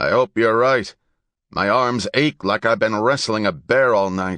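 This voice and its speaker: In a put-on character voice, a man speaks raspy at a medium pitch and a moderate pace, with a dry, close sound with no echo and a quiet background. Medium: read story. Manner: commanding, gruff.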